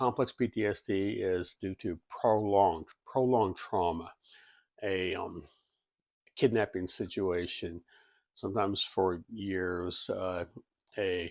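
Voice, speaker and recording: A man with a fairly low pitch speaks at a very slow pace, with long, frequent pauses and fairly even intonation. The sound is dry and close with no echo, over a quiet background. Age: 60s. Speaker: health video creator. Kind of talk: informal explainer monologue. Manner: halting, many repetitions.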